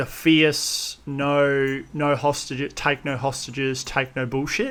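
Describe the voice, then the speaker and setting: A man with an Australian accent talks very slowly in a flat monotone, his pitch fairly high. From Australia (Perth), moved from Russia at seven. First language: Russian. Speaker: wedding photographer and content creator. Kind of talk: podcast interview.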